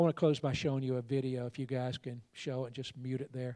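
A man with a Southern US accent speaks at a moderate pace in a medium pitch, his tone dark and mellow and his intonation flat and monotone. The recording is very clean with a silent background, and the sound is dry and close with no echo. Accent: Southern US (Georgia). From US South, Georgia. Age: 60s. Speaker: pastor and missions leader. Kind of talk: sermon. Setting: church with congregation.

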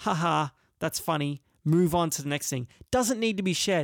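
On a very clean recording with a silent background, a high-pitched man with an Australian accent talks at a moderate pace with lively intonation. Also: dry, close sound with no echo. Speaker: podcast host and musician. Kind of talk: casual solo podcast monologue. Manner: rambling, hesitant with fillers.

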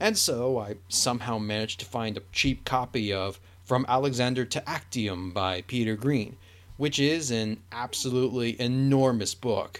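The man has a plain, everyday voice at a medium pitch, with ordinary pitch variation. He speaks at a moderate pace in a very clean recording with a silent background. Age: 20s. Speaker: history podcaster. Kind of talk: solo Q&A monologue. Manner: casual with many filler words.

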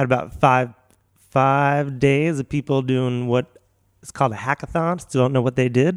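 A man's normal speaking voice at medium pitch, with fairly even intonation, big swings in loudness and a moderate pace, in a dry, close sound with no echo. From Philadelphia, US. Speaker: event venue producer and comedian. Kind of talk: casual chat.

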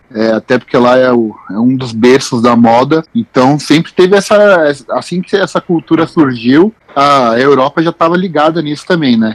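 A man with a plain, everyday voice, fairly high pitch and lively intonation at a moderate pace, in a dry, close sound with no echo. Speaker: sneaker news writer. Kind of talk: casual chat.

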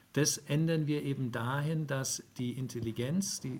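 A man's medium-pitched voice, fairly slow, with ordinary pitch variation. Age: 50s. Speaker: HR tech founder. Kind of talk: interview. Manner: halting.

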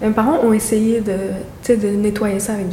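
A woman's fairly high voice in a flat monotone at a moderate pace, with audible room echo and noticeable background noise. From Montreal, Côte-des-Neiges. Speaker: neighborhood resident. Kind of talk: interview testimony.

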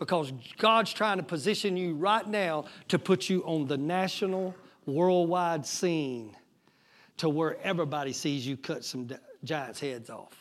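With an American accent, a man speaks in a high voice. His pace is fairly slow and his pitch varies in an ordinary way. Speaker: pastor. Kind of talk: sermon. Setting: church. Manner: animated.

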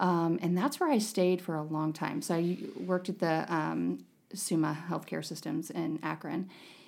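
On a very clean recording with a silent background, an American accent comes through with vocal fry, ordinary pitch variation and a moderate pace. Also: woman, fairly low pitch for a woman. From northeastern Ohio. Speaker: nurse injector. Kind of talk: casual chat, interview.

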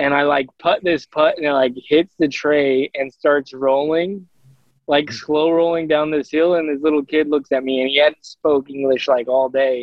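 A man with a Southwestern US accent, fairly high-pitched, flat and monotone, at a moderate pace. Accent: American (Southwest). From Arizona. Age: 30s. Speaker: professional disc golfer. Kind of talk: casual interview.

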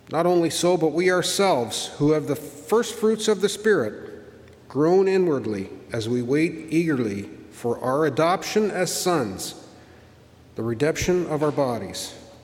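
Through noticeable background noise, a man speaks slowly-ish, fairly slow in pace, at a fairly high pitch with very wide pitch swings. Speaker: worship leader. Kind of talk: prayer and scripture reading. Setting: church.

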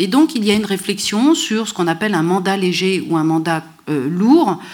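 Medium-pitched woman's voice with lively intonation, a fairly slow pace and audible room echo. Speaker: history professor. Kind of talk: lecture.

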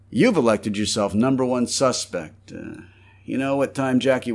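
An unforced reading voice carries the whole clip.

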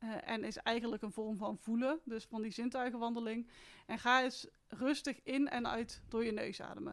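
A woman with a fairly high pitch and a plain, everyday voice talks at a moderate pace with fairly even intonation. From Netherlands, North Brabant (Etten-Leur). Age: 30s. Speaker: mindful walking coach and hiker. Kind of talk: casual interview conversation.

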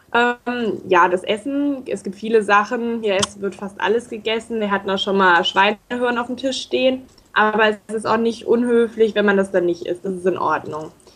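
A woman's fairly high voice with ordinary pitch variation, a moderate pace, hardly any pauses, and noticeable background noise. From northern Hesse, Germany (Baunatal). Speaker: intern abroad. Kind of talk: radio interview. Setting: Skype call.

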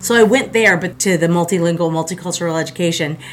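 Someone with an American accent speaks at a very fast pace over noticeable background noise. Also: woman. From South Florida. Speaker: art teacher. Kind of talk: casual interview. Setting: studio. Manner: energetic.

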